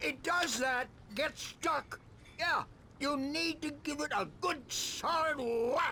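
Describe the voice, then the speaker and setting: A man puts on a character voice with an extremely high pitch at a fairly slow pace. Background noise is clearly heard. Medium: video game. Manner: folksy, easygoing.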